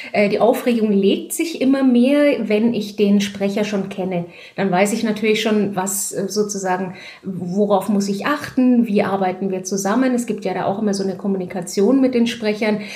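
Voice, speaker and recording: Speech from a woman, with audible room echo and noticeable background noise. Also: moderate pace. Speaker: audiobook and theatre director. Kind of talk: casual interview. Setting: at home, in her flat. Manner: hesitant, many filler sounds.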